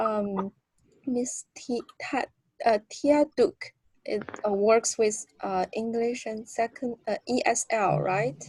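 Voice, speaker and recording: The woman's fairly high voice moves at a very slow pace with ordinary pitch variation, in a dry, close sound with no echo. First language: not English. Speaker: graduate student mentee. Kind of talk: workshop introduction. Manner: halting.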